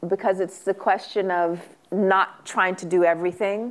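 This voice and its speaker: A woman with an ordinary speaking voice, medium pitch, and a moderate pace. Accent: American. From US West Coast (South Central Los Angeles). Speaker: author and academic. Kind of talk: Q&A at a book talk. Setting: stage with audience.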